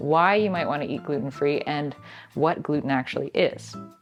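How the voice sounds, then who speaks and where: Music can be heard behind the voice. A woman talks fairly quickly. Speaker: dietitian. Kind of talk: casual talk to camera.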